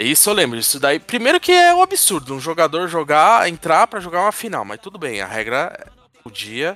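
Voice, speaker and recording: Here a man talks at a fairly quick pace in a high, bright, sharp voice. His pitch swings very widely and his loudness rises and falls a lot. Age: 40s. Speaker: podcast co-host. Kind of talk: casual chat.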